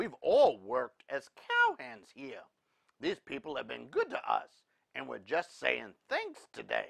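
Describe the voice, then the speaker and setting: A put-on character voice at a fairly slow pace. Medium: read story. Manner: folksy, genial.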